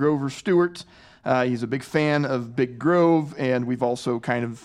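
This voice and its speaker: An ordinary speaking voice from a man, fairly high in pitch, with ordinary pitch variation and a quiet background. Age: 40s. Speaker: sports podcast host. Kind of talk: casual chat.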